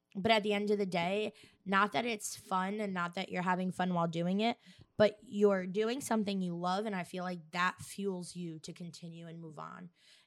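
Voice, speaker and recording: A woman talks at a moderate pace in a normal speaking voice, medium in pitch, with fairly even intonation but big swings in loudness. The recording is very clean, with a silent background. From Staten Island, New York. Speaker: host's wife, interviewer. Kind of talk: casual chat.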